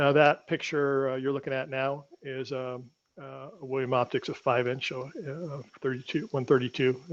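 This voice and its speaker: A man speaks at medium pitch with monotone, flat intonation. His loudness swings widely. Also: moderate pace. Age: 70s. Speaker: astrophotographer giving a talk. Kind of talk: online club presentation. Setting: video call from home studio. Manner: halting, many fillers.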